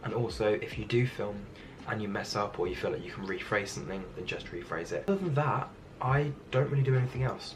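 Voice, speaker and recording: With lively intonation at a medium pitch, a man talks at a very fast pace amid noticeable background noise and audible room echo. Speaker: YouTuber. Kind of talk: tutorial.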